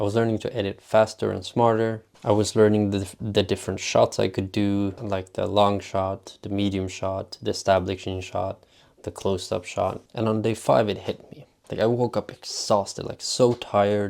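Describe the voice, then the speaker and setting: In a Swedish accent, a man speaks at a fairly low pitch and moderate pace with flat, monotone intonation, on a very clean recording with a silent background. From Sweden. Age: 20s. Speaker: vlogger. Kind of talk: vlog monologue.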